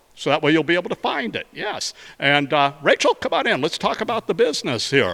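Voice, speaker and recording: Lively intonation runs at a fairly quick pace in a dry, close sound with no echo, over noticeable background noise. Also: man. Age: 60s. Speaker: mayor hosting a community show. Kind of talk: casual interview. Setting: indoor golf arena.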